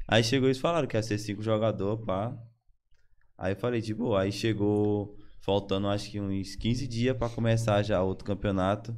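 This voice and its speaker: A man talks at a moderate pace in a fairly low pitch with fairly even intonation. He has a plain, everyday voice. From Brazil, Maranhão (São Luís). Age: 20s. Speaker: esports player. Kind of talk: casual chat.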